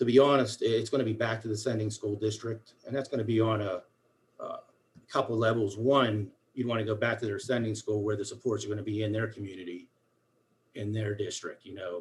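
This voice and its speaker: A man's somewhat breathy voice at medium pitch and a fairly quick pace. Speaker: school special education coordinator. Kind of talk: formal meeting report. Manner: fast; animated.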